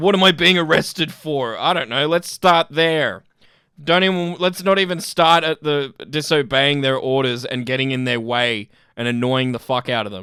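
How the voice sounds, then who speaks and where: With an Australian accent, this speaker talks at a moderate pace in an animated tone, with ordinary pitch variation. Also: man, fairly high pitch for a man. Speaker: YouTube commentator. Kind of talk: reaction commentary.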